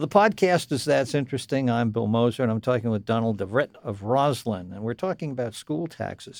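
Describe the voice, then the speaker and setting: In a normal speaking voice, a man of medium pitch speaks with lively intonation and hardly any pauses. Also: fairly quick pace, very clean recording, silent background. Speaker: radio podcast host. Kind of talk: interview. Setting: studio.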